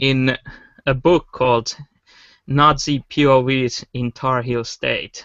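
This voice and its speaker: Pausing long and often, a man speaks at a very slow pace in a medium pitch with monotone, flat intonation. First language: not English. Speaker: podcast co-host. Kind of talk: casual panel discussion.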